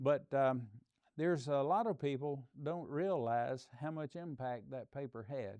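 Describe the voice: Speaking at a fairly slow pace, the man has a medium pitch, a slightly mellow tone and ordinary pitch variation.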